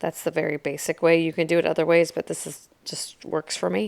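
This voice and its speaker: A woman's very deep, low voice with vocal fry, at a moderate pace. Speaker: crafting tutorial creator. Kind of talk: tutorial. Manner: casual, hesitant with fillers.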